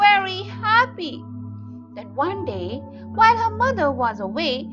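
The recording features a natural reading voice. That is the whole of it.

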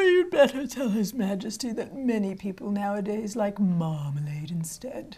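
A put-on character voice at a moderate pace with hardly any pauses. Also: female-sounding voice, medium pitch for a woman. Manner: sleepy, drowsy.

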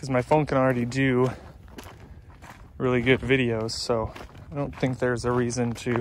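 A man speaks at a moderate pace in a flat monotone, with light background noise and a dry sound with no echo. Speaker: hiking vlogger. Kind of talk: casual vlog chat. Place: open country. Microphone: phone near.

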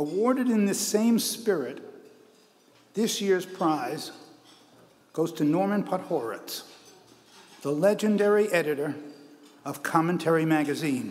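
With a fairly slow pace and long, frequent pauses, a man speaks in a high pitch for a man with lively intonation. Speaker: award presenter. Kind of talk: ceremonial speech. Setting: stage with audience. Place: hall. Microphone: podium.

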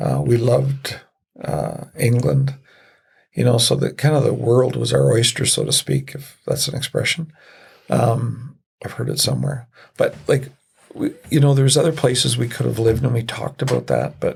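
With a Canadian accent, a man talks at a moderate pace. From military bases in Europe, then Canada. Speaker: retired police officer and city councillor. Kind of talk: podcast interview.

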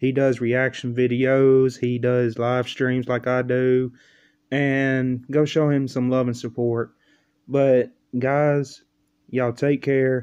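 A man speaks at a very slow pace. His intonation is monotone and flat against a quiet background. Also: very even loudness. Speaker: reaction video creator. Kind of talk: casual vlog chat. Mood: amused, laughing. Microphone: webcam.

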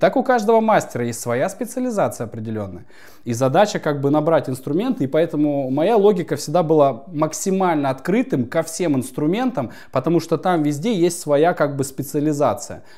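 Over a quiet background, a man's fairly high voice carries a dark, mellow tone and very wide pitch swings. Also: moderate pace. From Yakutia, Russian Far East. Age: 30s. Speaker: spiritual coach. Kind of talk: interview. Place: home room.

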